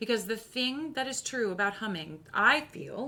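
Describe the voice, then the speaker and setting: Against noticeable background noise, a woman speaks with an animated tone and lively intonation at a moderate pace. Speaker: voice teacher. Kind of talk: tutorial. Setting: live stream.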